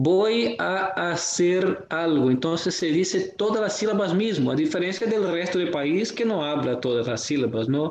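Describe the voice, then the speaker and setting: A man with a Portuguese accent. His voice sits high in pitch. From Brazil. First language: Portuguese (speaking Spanish). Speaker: student. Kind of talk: casual discussion. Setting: virtual recording. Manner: halting.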